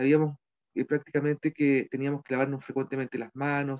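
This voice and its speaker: With a Chilean accent, a man speaks in a dark, mellow tone at a fairly high pitch over a quiet background. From Chile, Petorca (Valparaíso region); Valparaíso region, Chile. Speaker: community leader and local councillor. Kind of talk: interview testimony. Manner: halting, many fillers and repetitions. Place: home room. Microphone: video call.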